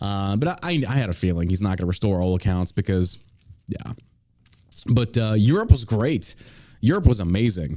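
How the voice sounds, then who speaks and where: A man with an American accent talks at a fairly quick pace in a fairly low, dark, mellow voice with ordinary pitch variation. He leaves long, frequent pauses, and the recording is very clean with a silent background. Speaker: podcast host. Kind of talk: casual chat.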